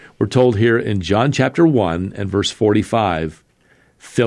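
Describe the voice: What you hear is plain reading aloud.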